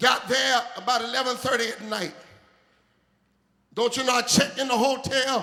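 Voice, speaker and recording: A man's raised, projected voice at extremely high pitch and moderate pace. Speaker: preacher. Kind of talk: sermon with humorous story, call-and-response.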